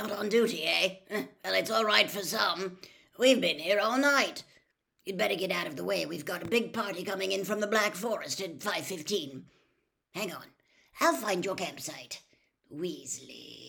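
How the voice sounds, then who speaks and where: In a put-on character voice, a female-sounding speaker rumbles at a middle pitch. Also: moderate pace. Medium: read story. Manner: weary, grumbling.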